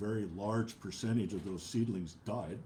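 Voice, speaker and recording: A man's somewhat breathy, dark, mellow voice at a fairly slow pace, with ordinary pitch variation and audible room echo. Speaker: preacher. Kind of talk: sermon. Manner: halting, many filler uhs.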